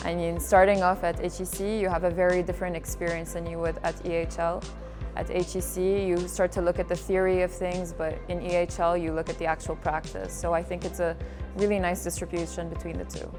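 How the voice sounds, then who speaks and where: Music can be heard behind the voice. The woman talks at a fairly quick pace. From UAE. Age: 20s. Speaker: student. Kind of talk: interview testimonial.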